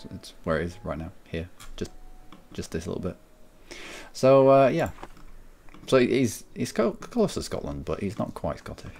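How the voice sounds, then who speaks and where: A man at medium pitch speaks at a moderate pace in a slight Cumbrian accent, with vocal fry. His pitch swings very widely, his loudness shifts a lot, and he leaves long, frequent pauses. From Cumbria, northern England. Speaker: gaming streamer. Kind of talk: casual chat.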